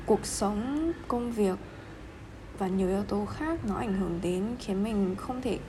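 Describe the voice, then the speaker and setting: A woman speaks fairly slowly at a medium pitch with lively intonation. The room echoes audibly, and there is noticeable background noise. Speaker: podcaster. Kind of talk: casual solo monologue. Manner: halting, many fillers.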